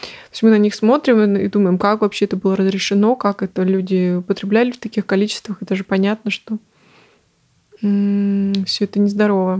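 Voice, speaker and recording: Her dark, mellow tone sits at a medium pitch, and the woman speaks at a moderate pace with a monotone, flat intonation in a dry, close sound with no echo. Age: 20s. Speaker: podcast host. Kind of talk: casual solo monologue. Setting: at home.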